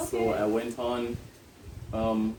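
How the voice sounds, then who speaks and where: Noticeable background noise accompanies a man of medium pitch speaking with a Jamaican accent. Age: 20s. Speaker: chartered accountant, financial manager. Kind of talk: interview answer. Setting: outdoors, windy.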